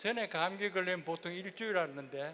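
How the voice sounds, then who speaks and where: At a fairly slow pace, a man speaks in a high pitch with a bright, sharp tone and ordinary pitch variation. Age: 90s. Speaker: lecturer, former executive. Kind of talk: lecture.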